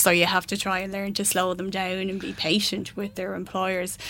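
Her tone is bright and sharp. The woman speaks at a moderate pace with a medium pitch. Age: 40s. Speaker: career coach. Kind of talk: interview. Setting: studio.

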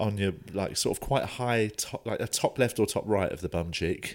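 A man with a British accent speaks at a moderate pace, his pitch varying in an ordinary way. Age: 30s. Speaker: stand-up comedian. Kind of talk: casual chat.

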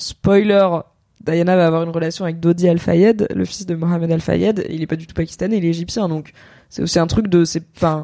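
A woman speaks with a dark, mellow tone and a fairly low pitch at a fairly quick pace. Her intonation stays fairly even while her loudness swings widely. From France, Paris. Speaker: content creator, podcast host. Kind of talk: casual chat. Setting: Twitch livestream.

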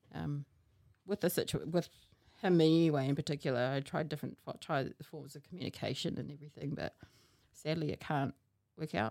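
Speaking at a fairly quick pace with a New Zealand accent, a woman uses a very deep, low pitch, a dark, mellow tone and fairly even intonation, recorded very cleanly against a silent background with a dry, close sound and no echo. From New Zealand, Hamilton. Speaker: podcast guest. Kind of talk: casual chat.

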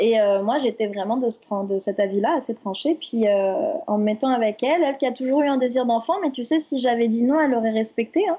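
A woman with a high pitch and lively intonation at a fairly quick pace, over noticeable background noise. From France. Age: 30s. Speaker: podcast guest sharing personal story. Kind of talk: casual interview chat.

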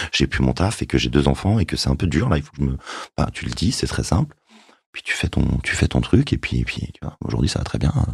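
Very deep and low, a man's voice moves at a fairly quick pace with lively intonation. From France, Yvelines. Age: 40s. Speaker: journalist. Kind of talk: testimony.

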